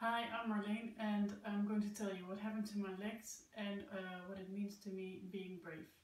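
Audible room echo surrounds a woman's moderate pace. Her intonation is monotone and flat, with hardly any pauses. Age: 30s. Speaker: amputee sharing personal story. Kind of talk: personal testimony. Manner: hesitant, many fillers. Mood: calm, positive, reflective. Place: home room. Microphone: camera far.

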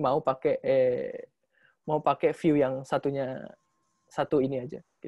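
Against a quiet background, a man speaks with a fairly high pitch and fairly even intonation. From Indonesia. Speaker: PhD researcher presenting a paper; candidate. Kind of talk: academic webinar presentation; Q&A answers. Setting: video call. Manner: halting, many fillers. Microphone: video call.

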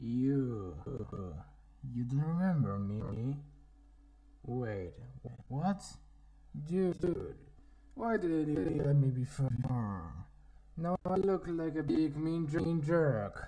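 Over light background noise, a man uses a put-on character voice at a fairly high pitch, speaking at a very slow pace with long, frequent pauses. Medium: voice reel.

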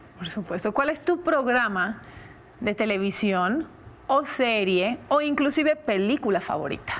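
A woman's fairly high voice at a fairly slow pace, with very wide swings in pitch. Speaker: interview show host. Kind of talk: interview. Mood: warm, friendly curiosity. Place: studio.

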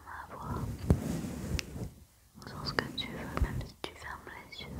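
A woman at a very slow pace. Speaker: ASMR creator. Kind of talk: ASMR sleep personal attention. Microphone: studio mic.

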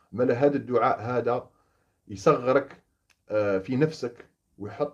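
Over a quiet background, a man speaks at medium pitch and a fairly slow pace with fairly even intonation. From Algeria, Oran; Algeria. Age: 30s. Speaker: former gendarme turned opposition activist. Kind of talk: monologue to camera. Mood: earnest, indignant. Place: home room. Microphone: phone near.

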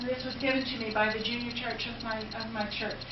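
A woman with a fairly high voice and an American accent, monotone, flat intonation and a fairly quick pace, amid noticeable background noise and audible room echo. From Western Pennsylvania. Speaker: nurse and senior care consultant; guest. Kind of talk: lecture. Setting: church class with audience. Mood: warm, reflective. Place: church. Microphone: camera far.

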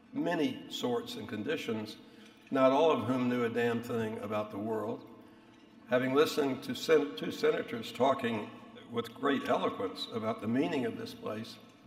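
There is audible room echo in the recording. A man talks at a moderate pace. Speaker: speaker. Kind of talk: after-dinner speech. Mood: wry, reminiscent. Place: hall. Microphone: podium.

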